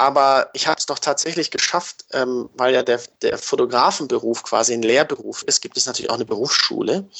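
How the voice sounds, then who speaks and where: A man is speaking at a fairly quick pace. He hardly pauses at all. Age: 30s. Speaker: sports photographer. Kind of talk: interview. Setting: video call. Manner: halting, many fillers.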